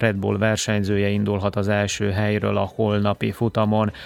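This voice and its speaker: The speaker is a man with a fairly low pitch. His pace is fairly slow. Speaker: radio sports host. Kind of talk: news reading. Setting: studio.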